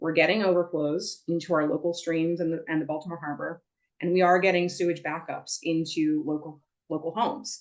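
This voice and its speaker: Fairly low in pitch, a woman talks at a fairly quick pace. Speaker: environmental advocate. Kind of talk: presentation. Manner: fast.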